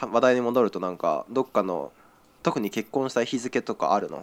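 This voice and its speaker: A man of medium pitch speaks with vocal fry. The recording is very clean and silent in the background, with a dry, close sound and no echo. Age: 20s. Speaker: podcast co-host. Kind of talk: casual chat.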